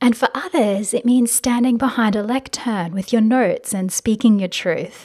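This woman's voice is fairly high in pitch, with ordinary pitch variation. She talks at a fairly slow pace. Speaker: life and business coach podcaster. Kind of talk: solo podcast monologue. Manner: gentle, shy, warm.

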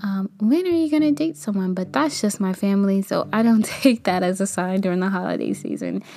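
Her delivery is fairly quick with hardly any pauses, as a woman with a medium-pitched voice speaks with lively intonation. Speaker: podcast host and kindergarten teacher. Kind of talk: solo podcast monologue.

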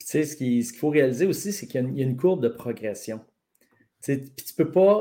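His tone is dark and mellow, with a fairly high pitch for a man. He speaks fairly quickly with lively intonation. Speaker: strength coach. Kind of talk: casual chat.

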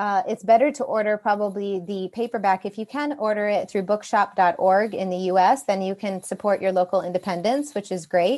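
A woman with an American accent speaks in an ordinary speaking voice at medium pitch. Her pace is fairly quick with hardly any pauses, over a quiet background. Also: ordinary pitch variation. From United States. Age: 40s. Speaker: novelist. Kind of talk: interview.

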